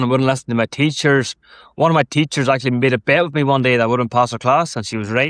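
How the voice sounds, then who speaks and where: A man with an Irish accent, medium pitch and fairly even intonation, speaking at a very fast pace against a quiet background. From Ireland. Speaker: endurance athlete and mental health advocate. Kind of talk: podcast interview. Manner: casual, swears freely.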